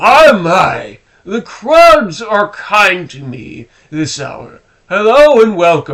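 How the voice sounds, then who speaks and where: A man bellows loudly in a put-on character voice, high-pitched and warm in tone. His pitch swings very widely at a very slow pace. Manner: bellowing, warm, welcoming.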